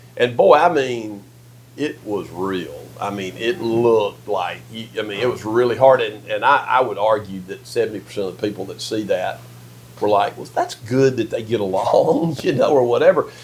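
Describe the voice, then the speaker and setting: With a Mississippi accent, a man speaks at a moderate pace, his loudness swinging widely. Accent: US Southern (Mississippi). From Mississippi, Yazoo City. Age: 60s. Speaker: political strategist and lobbyist. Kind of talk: casual interview conversation. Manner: hesitant, repetitive false starts.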